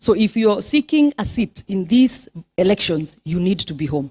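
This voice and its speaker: Somewhat breathy and animated, a woman speaks with lively intonation in a dry, close sound with no echo. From Kenya. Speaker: politician. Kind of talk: speech to audience. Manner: fast.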